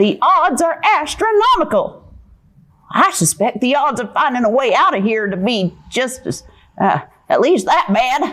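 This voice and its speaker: A cartoonish character voice, female-sounding and high-pitched, swings very widely in pitch at a moderate pace. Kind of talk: puppet show performance. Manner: pessimistic, fretful.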